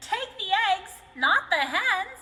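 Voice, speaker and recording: A woman uses a put-on character voice that is squeaky and extremely high. Her pitch swings very widely. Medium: read story.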